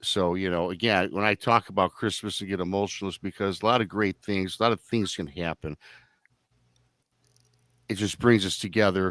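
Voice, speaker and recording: A man with an unremarkable speaking voice talks at a fairly low pitch with ordinary pitch variation. His pace is fairly quick, and the sound is dry and close with no echo. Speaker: podcast host. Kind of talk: live online talk show.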